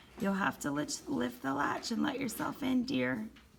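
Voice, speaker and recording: Putting on a character voice, a woman talks at a moderate pace in a raspy, fairly high voice with very wide pitch swings, with light background noise behind her. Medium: read story.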